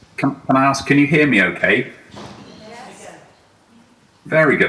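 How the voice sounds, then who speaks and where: A man speaks over noticeable background noise. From UK. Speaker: HR executive, conference speaker. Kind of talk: conference talk. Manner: hesitant, many fillers.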